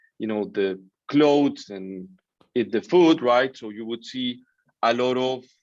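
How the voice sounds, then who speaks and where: Speaking at a fairly slow pace with a Colombian accent, a man uses a medium pitch while his loudness swings widely. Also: ordinary pitch variation. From Colombia, Bogota. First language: Spanish. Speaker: business founder. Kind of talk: interview.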